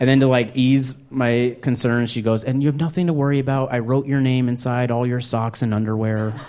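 A man with an American accent talks fairly quickly in a dark, mellow, medium-pitched voice with fairly even intonation, and room echo is audible. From New Mexico, US. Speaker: stand-up comedian. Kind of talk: stand-up. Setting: stage with audience.

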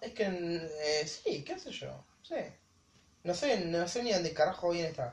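A woman's fairly low voice at a very slow pace, lively in intonation and with big swings in loudness. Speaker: podcast co-host. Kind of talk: casual chat. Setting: indoors at a house.

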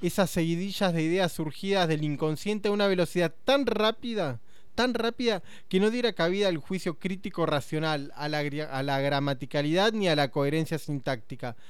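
Speaking at a moderate pace in a Rioplatense accent, a man with a high pitch uses lively intonation. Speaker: radio host. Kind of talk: casual radio conversation.

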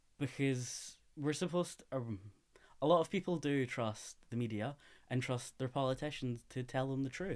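A man with a Scottish accent speaks at a moderate pace in a medium pitch with ordinary pitch variation. The recording is very clean, with a silent background. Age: 20s. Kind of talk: interview.

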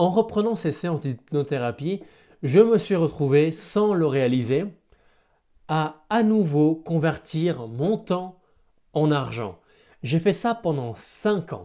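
A man talks at a very slow pace with long, frequent pauses. His fairly high voice has a dark, mellow tone on a very clean recording with a silent background. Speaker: podcaster and hypnotherapist. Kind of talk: solo podcast monologue. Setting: at home. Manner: stumbling at times.

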